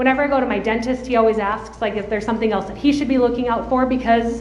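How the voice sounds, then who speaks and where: Over noticeable background noise and audible room echo, a woman with a slight Minnesota accent speaks at a fairly high pitch with fairly even intonation. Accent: slight Minnesota accent, long O's. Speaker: adult protective services trainer. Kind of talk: conference presentation. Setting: conference room with audience. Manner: loud.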